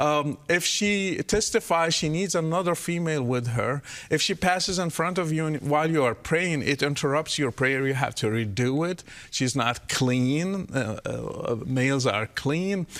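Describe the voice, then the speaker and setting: Speaking with an Arabic accent, a fairly high-pitched man talks at a fairly slow pace with ordinary pitch variation and hardly any pauses. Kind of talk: interview.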